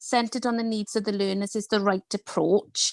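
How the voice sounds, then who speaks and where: With a Welsh accent, a woman talks at a moderate pace in a dry, close sound with no echo. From Wales. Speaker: educator. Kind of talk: online panel discussion.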